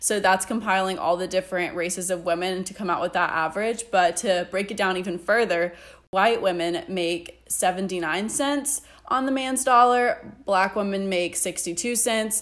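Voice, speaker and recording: In a plain, everyday voice, a woman speaks at a medium pitch with ordinary pitch variation. Her pace is fairly slow, and the recording is very clean against a silent background. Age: 20s. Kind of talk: casual chat.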